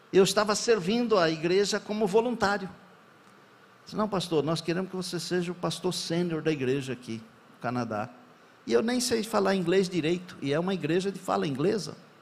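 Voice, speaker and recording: A man's high-pitched voice with lively intonation at a fairly quick pace, plus audible room echo. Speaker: pastor. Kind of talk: sermon.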